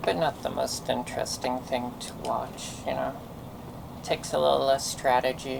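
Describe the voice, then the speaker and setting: A man with an American accent talks at a moderate pace. Noticeable background noise can be heard. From US West Coast. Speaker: game streamer. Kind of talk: casual gameplay commentary. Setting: live stream.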